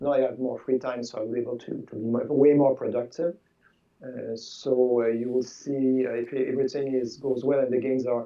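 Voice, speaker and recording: With a Quebec French accent, a man speaks at a moderate pace in monotone, flat intonation. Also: medium pitch for a man. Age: 60s. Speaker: board game designer. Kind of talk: interview. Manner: halting, repeats words.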